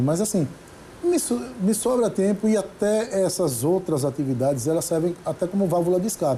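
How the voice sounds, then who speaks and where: Man talking at a fairly quick pace amid noticeable background noise. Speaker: judge and singer-songwriter. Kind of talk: interview.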